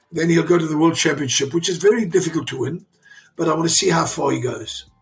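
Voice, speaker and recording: Music plays in the background as a man talks at a very fast pace. His pitch is high, with ordinary variation. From South Africa. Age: 60s. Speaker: father of an Olympic champion. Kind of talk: interview. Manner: animated; halting.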